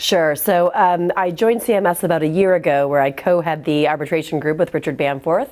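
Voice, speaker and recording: A woman with an American accent has an ordinary speaking voice, a fairly low pitch and ordinary pitch variation. She talks at a fairly quick pace with hardly any pauses and very even loudness. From US Midwest, Michigan. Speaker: arbitration lawyer. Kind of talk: interview. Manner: frequent fillers and repetitions.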